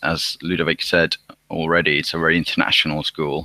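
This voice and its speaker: This man with a Finnish accent has a very deep, low pitch and a bright, sharp tone. The sound is dry and close, with no echo. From Finland. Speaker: university student. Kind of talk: live online Q&A. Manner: halting, many repetitions.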